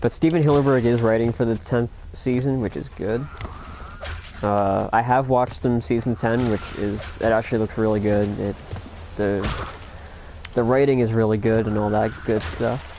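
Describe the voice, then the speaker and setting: Over noticeable background noise, a man speaks at a moderate pace, leaving long, frequent pauses. His voice sits at a medium pitch with ordinary variation. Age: 20s. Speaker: gamer streamer. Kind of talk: casual livestream chat. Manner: casual, stammering.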